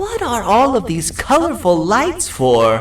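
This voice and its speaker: Someone does a put-on character voice over light background noise. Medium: video game. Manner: nervous, apologetic.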